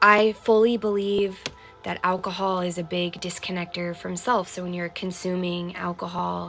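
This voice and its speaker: A woman speaks at a moderate pace in a fairly low, calm, flat monotone, with music playing in the background. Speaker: mindfulness livestream host. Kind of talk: livestream reading and reflection. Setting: live stream. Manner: calm and low tone.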